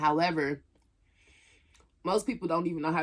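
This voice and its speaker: A woman's very deep, low voice in an Atlanta accent, with fairly even intonation. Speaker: YouTuber. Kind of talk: casual mukbang vlog talk. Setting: at home, camera propped up.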